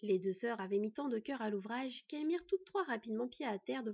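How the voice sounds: The reading voice is natural. Its intonation is lively.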